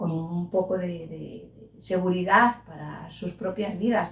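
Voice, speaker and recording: A woman's words come out very slowly, her pitch varying in an ordinary way. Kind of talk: interview answer.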